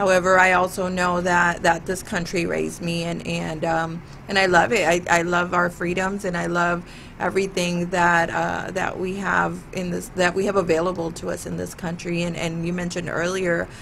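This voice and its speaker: A woman speaks in a monotone, flat intonation. Noticeable background noise and audible room echo surround her voice. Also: fairly low pitch for a woman, moderate pace. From US Midwest, Michigan. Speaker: talk show host and realtor. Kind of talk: casual interview chat.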